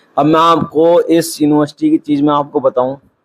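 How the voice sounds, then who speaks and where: A man talks with a fairly high pitch and monotone, flat intonation. The sound is dry and close with no echo. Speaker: vlogger. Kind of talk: vlog. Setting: indoors in his room.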